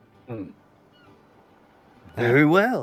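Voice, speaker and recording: In a put-on character voice, a man talks at a medium pitch. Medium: actual play. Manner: gruff, blunt.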